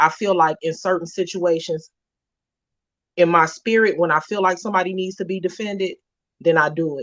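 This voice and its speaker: Speaking at a fairly quick pace yet with long, frequent pauses, a woman keeps a fairly low pitch and fairly even intonation. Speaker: podcast host. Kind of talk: casual chat. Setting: live stream. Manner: loud; aggressive delivery.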